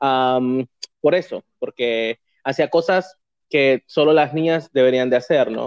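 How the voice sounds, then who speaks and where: A man's fairly high voice, with ordinary pitch variation and a fairly slow pace. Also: dry, close sound with no echo. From Honduras, San Pedro Sula. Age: 30s. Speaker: community figure. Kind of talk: casual interview.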